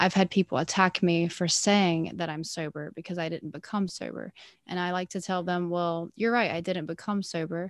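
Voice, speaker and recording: In a very clean recording with a silent background and a dry, close sound with no echo, a woman with a fairly low pitch speaks at a moderate pace with hardly any pauses. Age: 20s. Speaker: sober festival-goer and advocate. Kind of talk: interview. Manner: animated.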